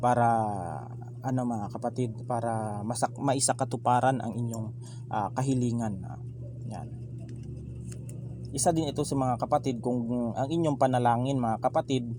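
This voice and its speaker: A man at medium pitch, flat and monotone, moderate pace with long, frequent pauses. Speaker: tarot card reader. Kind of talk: tarot reading monologue. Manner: soft-spoken; halting, many fillers. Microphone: no proper microphone, voice too quiet.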